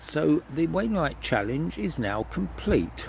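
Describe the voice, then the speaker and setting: This is a man speaking. His voice has vocal fry. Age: 70s. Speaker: choir conductor and hiker. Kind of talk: casual vlog recap. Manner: halting, with fillers.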